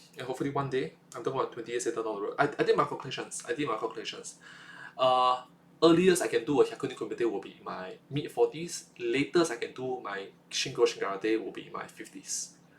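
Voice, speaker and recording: Speaking with a Singaporean accent, a man talks at a very fast pace. His loudness swings widely. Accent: Singaporean English (Singlish). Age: 20s. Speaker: vlogger. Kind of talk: casual monologue vlog. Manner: halting, with many repetitions and fillers.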